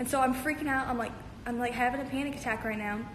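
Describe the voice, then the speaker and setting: Over noticeable background noise and audible room echo, a woman talks at a very fast pace in an animated tone and a high pitch. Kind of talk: casual livestream storytelling. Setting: livestream.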